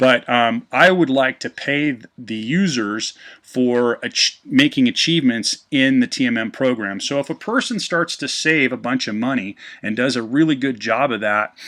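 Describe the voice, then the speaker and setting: A man with a medium pitch and ordinary pitch variation speaks at a moderate pace in a bright, sharp tone against a quiet background. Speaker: business presenter running a webinar. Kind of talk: online business presentation. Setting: live webcast. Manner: hesitant, many fillers.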